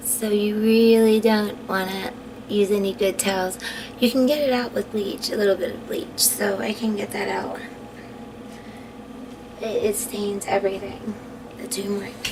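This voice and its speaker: A woman speaks at a moderate pace with a fairly high pitch and monotone, flat intonation. She takes long, frequent pauses, and noticeable background noise is present. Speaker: skincare vlogger. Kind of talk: casual talk to camera.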